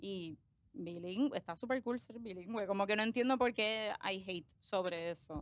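The woman's pitch is mid-range and varies normally. She keeps to an average speed. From Puerto Rico, moved from Argentina at age five. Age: 20s. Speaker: accountant and social media creator. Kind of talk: casual interview chat. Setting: studio. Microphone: close to microphone.

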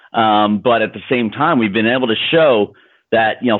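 With an American accent, a normal speaking voice moves at a moderate pace. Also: man. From US Midwest (small-town Indiana). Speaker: social entrepreneur. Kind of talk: interview.

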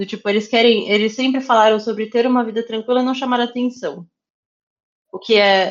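In a plain, everyday voice, a woman speaks at a fairly quick pace with a fairly high pitch and fairly even intonation. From São Paulo area, Brazil (Osasco). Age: 30s. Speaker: cosplayer and influencer manager. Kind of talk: casual interview chat.

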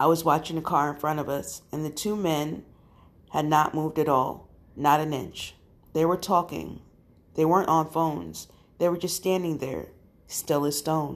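A woman's very deep, low voice with vocal fry, fairly even intonation, a moderate pace and long, frequent pauses. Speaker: podcast host reading scary stories. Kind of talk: ghost story telling, eerie narration of first-person scary tales. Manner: casual, friendly with audience.

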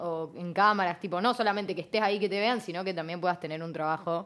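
An ordinary speaking voice at a fairly quick pace, on a very clean recording with a silent background. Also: woman. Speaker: radio host. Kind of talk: casual chat.

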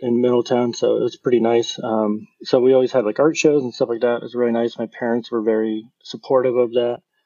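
A man in an unremarkable speaking voice talks at a middle pitch and a moderate speed. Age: 30s. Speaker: designer. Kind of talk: casual chat.

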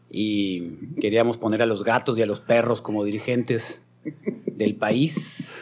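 A man's medium-pitched voice, fairly even in intonation and fairly slow, over noticeable background noise. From Mexico, Hermosillo, Sonora. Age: 50s. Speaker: radio broadcaster. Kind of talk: casual chat. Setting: studio.

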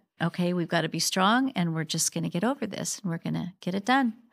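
A woman with an American accent and a fairly low pitch talks at a fairly quick pace with hardly any pauses, in a plain, everyday voice with ordinary pitch variation. The recording is very clean with a silent background and a dry, close sound with no echo. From Spokane, Washington. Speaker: church member. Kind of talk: casual chat.

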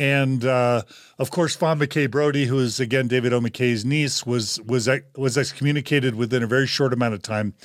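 Heard on a very clean recording with a silent background, a man with an ordinary speaking voice talks fairly quickly at a medium pitch with fairly even intonation. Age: 50s. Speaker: podcast host. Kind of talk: casual discussion.

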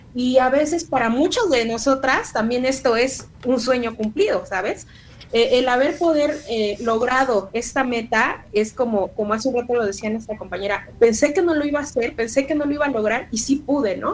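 Over noticeable background noise, a woman talks at a moderate pace in a high-pitched voice. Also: ordinary pitch variation, hardly any pauses. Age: 30s. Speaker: book co-author, university staff. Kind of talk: radio interview.

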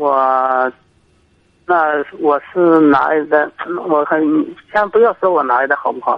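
A man at a fairly slow pace, with ordinary pitch variation and long, frequent pauses. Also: fairly high pitch for a man. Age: 30s. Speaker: caller, factory worker making fur garments. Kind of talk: phone-in advice call. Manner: halting.

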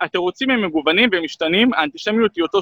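A man speaks with ordinary pitch variation. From Israel, Jerusalem. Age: 30s. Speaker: human rights activist. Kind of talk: interview.

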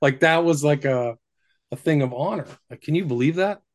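A man with an American accent and an unremarkable speaking voice talks at a moderate pace in a fairly high pitch with ordinary pitch variation. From Northern California. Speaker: researcher and author on the occult. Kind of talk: casual chat. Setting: remote call.

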